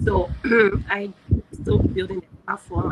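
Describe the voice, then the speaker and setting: A woman is speaking. Noticeable background noise accompanies her voice. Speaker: hackathon participant pitching a product. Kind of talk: product pitch. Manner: halting.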